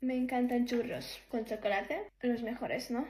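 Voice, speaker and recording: A woman speaks in a high pitch with monotone, flat intonation. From Poland. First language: Polish. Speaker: beauty vlogger. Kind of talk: casual get-ready-with-me chat.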